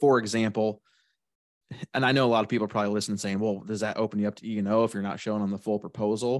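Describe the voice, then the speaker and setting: Over a quiet background, a man with a Midwestern American accent speaks very fast at a fairly low pitch in a monotone, flat intonation. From central Illinois. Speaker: independent insurance agent. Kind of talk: casual interview.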